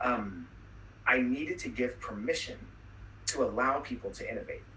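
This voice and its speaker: His voice carries audible room echo. The man speaks at a fairly quick pace. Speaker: webinar speaker on soft skills. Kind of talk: webinar talk. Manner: fast; casual.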